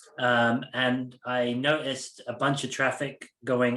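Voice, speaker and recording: A man's medium-pitched voice with an American accent, flat and monotone, over a quiet background. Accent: British accent halfway to American. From UK. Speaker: security leader. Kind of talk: podcast interview. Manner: hesitant with many fillers.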